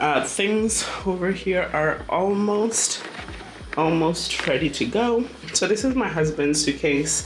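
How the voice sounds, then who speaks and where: A woman at medium pitch, very slow and very even in loudness, with lively intonation, audible room echo and music in the background. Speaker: travel vlogger. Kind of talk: casual vlog narration. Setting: hotel room. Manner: hesitant with fillers.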